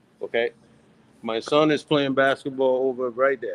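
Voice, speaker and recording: Speaking at a moderate pace, a man with a fairly high pitch comes through in a dry, close sound with no echo. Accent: Liberian. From Liberia, Vonjama District, Lofa County. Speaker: diaspora listener calling in. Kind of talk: casual call-in chat. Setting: video call from a high school gym.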